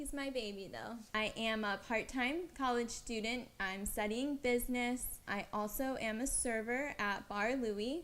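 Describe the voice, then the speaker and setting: Her voice is high-pitched for a woman, with an American accent. This woman speaks at a fairly slow pace with hardly any pauses. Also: ordinary pitch variation. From US South, West Palm Beach, Florida. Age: 20s. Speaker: dancer and vlogger. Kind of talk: casual Q&A vlog.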